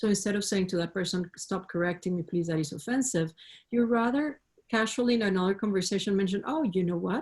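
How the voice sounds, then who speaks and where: A woman's medium-pitched, somewhat breathy voice with a non-native accent, very fast in pace, ordinary in pitch variation and very even in loudness. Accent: foreign accent, self-described. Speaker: panelist. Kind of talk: panel discussion.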